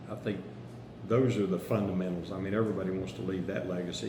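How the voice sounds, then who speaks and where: A man with an American accent speaks with a very deep, low pitch and lively intonation. Noticeable background noise and audible room echo fill the recording. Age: 60s. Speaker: county commissioner candidate. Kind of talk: interview. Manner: halting, with fillers and restarts.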